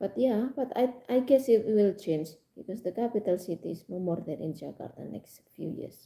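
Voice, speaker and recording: A woman with an Indonesian accent speaks at a medium pitch and a moderate pace, her dark, mellow tone touched with vocal fry. Her intonation is lively, and her loudness swings widely. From Indonesia, Java. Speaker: live streamer. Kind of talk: casual chat. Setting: live stream. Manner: halting.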